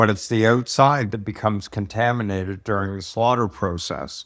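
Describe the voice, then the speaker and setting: A man with a fairly low voice speaks at a moderate pace and with fairly even intonation. The recording is very clean, with a silent background. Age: 60s. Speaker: food safety expert. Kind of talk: interview.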